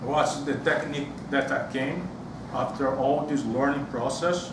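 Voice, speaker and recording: A man with a fairly high pitch and a strong Brazilian accent at a fairly slow pace, with fairly even intonation, audible room echo, and noticeable background noise. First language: Portuguese. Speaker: public speaking club member. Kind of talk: prepared speech. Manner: halting.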